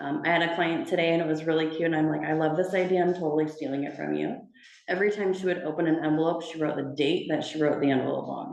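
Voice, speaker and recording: A woman talks very fast in a very deep, low voice with vocal fry and a dark, mellow tone. Her intonation is fairly even, and room echo is audible. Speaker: personal banker. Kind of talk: talk to a community group.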